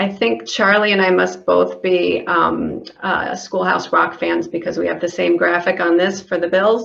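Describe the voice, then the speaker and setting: A woman talks at a fairly slow pace with hardly any pauses, over noticeable background noise and audible room echo. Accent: American. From Illinois. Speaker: government environmental program manager. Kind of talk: conference presentation. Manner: hesitant, many fillers.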